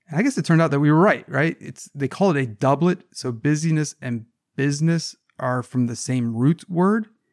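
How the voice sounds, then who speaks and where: With an American accent, a man talks in a plain, everyday voice at a moderate pace, fairly high in pitch with ordinary pitch variation, the sound dry and close with no echo. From US South (Savannah, Georgia). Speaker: management professor, podcast co-host. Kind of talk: casual chat.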